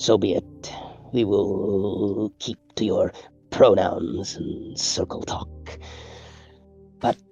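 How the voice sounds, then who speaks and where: A man's put-on character voice, fairly low-pitched, at a very slow pace with long, frequent pauses and faint music in the background. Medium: actual play. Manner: stiff, formal, measured.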